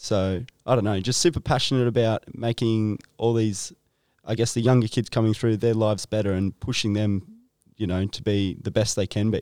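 A man with an Australian accent talks at a fairly quick pace in a fairly low pitch, with fairly even intonation and a dark, mellow tone. The sound is dry and close with no echo, on a very clean recording with a silent background. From Nelson Bay, Australia. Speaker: podcast interviewer. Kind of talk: casual chat.

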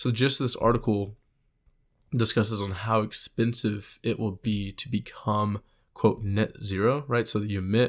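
In an American accent, a man with a plain, everyday voice and a fairly low pitch speaks with fairly even intonation on a very clean recording with a silent background. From Texas. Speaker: student podcast host on energy markets. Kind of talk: solo commentary podcast. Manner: casual, many filler words.

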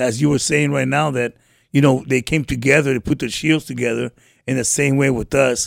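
Very fast and monotone, a man speaks at a medium pitch with flat intonation. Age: 50s. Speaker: homeless mission program resident. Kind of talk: testimony. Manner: halting.

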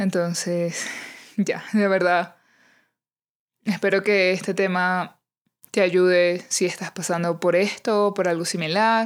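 A woman's medium-pitched, warm voice, very slow, with long, frequent pauses, very even loudness and flat, monotone intonation, on a very clean recording with a silent background. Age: 30s. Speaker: podcast host. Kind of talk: personal monologue. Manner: warm, intimate.

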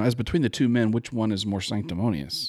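A man with a plain, everyday voice talks fairly quickly at a fairly low pitch with ordinary pitch variation, in a very clean recording with a silent background. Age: 60s. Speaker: political commentator guest. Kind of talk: casual political discussion.

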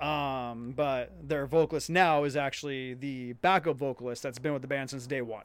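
A man with an American accent and a fairly high pitch has an unremarkable speaking voice, talking at a moderate pace with hardly any pauses and fairly even intonation on a very clean recording with a silent background. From US Pacific Northwest.

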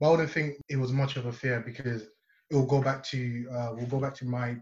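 Somewhat breathy and at a medium pitch, a man speaks at a moderate pace with monotone, flat intonation. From Nigeria. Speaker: university law student, student society president. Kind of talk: casual interview. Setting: video call.

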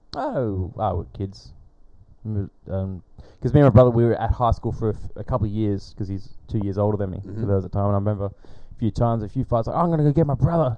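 A man speaks at a very fast pace with an Australian accent. His tone is dark and mellow, his pitch fairly low, with ordinary pitch variation. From Perth and the Pilbara, Western Australia. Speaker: podcaster. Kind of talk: casual chat.

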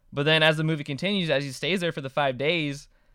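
Delivered at a fairly quick pace with ordinary pitch variation, this is an unremarkable speaking voice. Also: man. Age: 20s. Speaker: podcast host. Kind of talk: casual chat.

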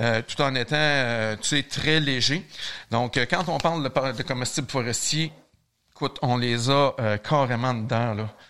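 A man with a Quebec accent talks at a fairly slow pace with a medium pitch. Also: very clean recording, silent background. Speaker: brewmaster. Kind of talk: casual interview.

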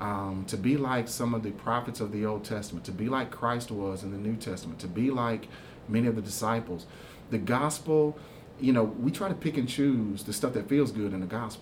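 Audible room echo surrounds a man at a medium pitch. He talks at a fairly quick pace with ordinary pitch variation. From Houston, Texas. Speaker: pastor. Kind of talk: interview about faith. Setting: church. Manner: repetitive, stammering restarts.

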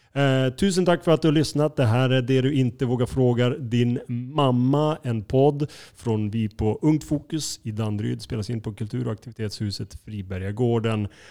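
A man talks at a moderate pace, his medium-pitched voice carrying a dark, mellow tone. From northern Sweden (Skellefteå). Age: 30s. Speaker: podcast host, culture producer. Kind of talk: casual chat.

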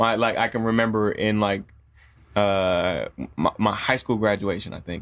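A man speaks at a moderate pace with an American accent, his pitch fairly low and his intonation fairly even. The recording is very clean, with a silent background. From US Midwest, Jackson, Michigan. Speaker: composer and music producer. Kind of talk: casual podcast chat.

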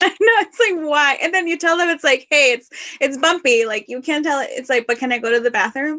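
With lively intonation and a bright, sharp tone, a woman projects her raised, high voice at a fairly quick pace. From Northwest Indiana, US. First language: Spanish. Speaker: flight attendant podcast host. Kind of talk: casual chat.

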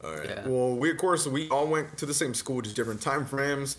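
Over music in the background, a man talks at a fairly quick pace, his medium pitch showing ordinary variation. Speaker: podcast host and streamer. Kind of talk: casual chat.

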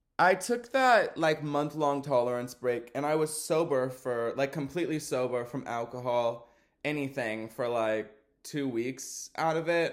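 Someone with a Texan accent speaks at a fairly slow pace with ordinary pitch variation. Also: man, fairly high pitch for a man, very clean recording, silent background. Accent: Texan American. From Texas. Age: 20s. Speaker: podcaster. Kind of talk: casual monologue. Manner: filler-heavy, says um a lot.

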